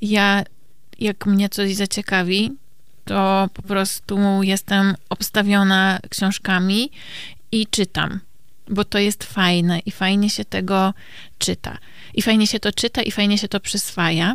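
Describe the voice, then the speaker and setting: A woman speaks at a very slow pace and medium pitch, in a monotone, flat intonation. The recording is very clean, with a silent background. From Poland, Kielce. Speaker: psychotherapist podcast co-host. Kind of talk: casual chat.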